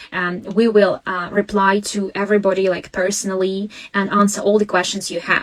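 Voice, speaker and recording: The speaker has a Russian accent and a monotone, flat intonation at a moderate pace. Noticeable background noise runs under the recording. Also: woman, medium pitch for a woman. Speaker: language teacher and education consultant. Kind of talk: live webinar Q&A. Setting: live stream. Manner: halting.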